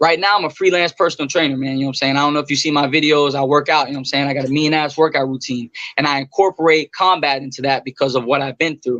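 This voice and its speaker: A man talking at a very fast pace with hardly any pauses, his pitch fairly high. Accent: American. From Florida. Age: 20s. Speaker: ex-prisoner, personal trainer. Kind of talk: interview, life story. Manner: animated.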